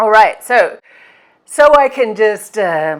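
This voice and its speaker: A speaker with an Australian accent talks at a very slow pace, with lively intonation. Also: woman. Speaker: occult practitioner and YouTuber. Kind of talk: casual Q&A vlog. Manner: hesitant, many fillers and repetitions.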